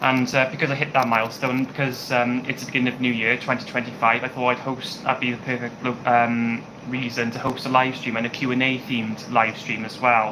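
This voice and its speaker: Fairly quick and flat in intonation, the speech comes with a British accent over noticeable background noise. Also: man, medium pitch for a man, hardly any pauses. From UK. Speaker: YouTuber. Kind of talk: live stream Q&A chat. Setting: home kitchen. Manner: hesitant, many fillers.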